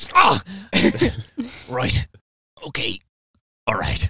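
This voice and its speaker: A man performs in a put-on character voice, recorded with a dry, close sound and no echo. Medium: actual play. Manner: curt, sulky.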